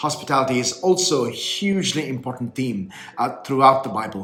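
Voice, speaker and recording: Over noticeable background noise, a man speaks at a medium pitch with lively intonation. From India (Kerala, raised in Bengaluru). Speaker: bishop. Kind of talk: prepared video address.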